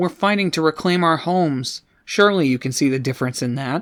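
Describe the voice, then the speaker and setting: A man's put-on character voice, fairly high for a man, at a fairly quick pace with ordinary pitch variation, on a very clean recording with a silent background. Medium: read story. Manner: bitter, defiant.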